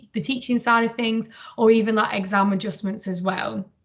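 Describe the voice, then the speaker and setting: A woman speaks in a northern English accent at a fairly high pitch. Her pace is fairly quick and her intonation fairly even. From northern England. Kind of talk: interview. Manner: hesitant with many fillers.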